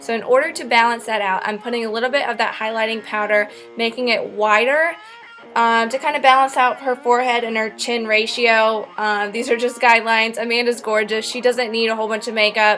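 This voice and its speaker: Music plays in the background as a woman speaks at a fairly quick pace. Her fairly high pitch carries fairly even intonation. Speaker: makeup artist. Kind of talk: tutorial. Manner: casual, playful.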